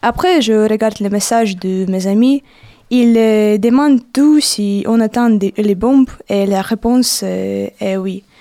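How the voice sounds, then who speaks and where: A woman with a Ukrainian accent speaks very slowly in a dark, mellow tone. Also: fairly high pitch for a woman, ordinary pitch variation. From Ukraine. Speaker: university student. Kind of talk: testimony. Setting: studio.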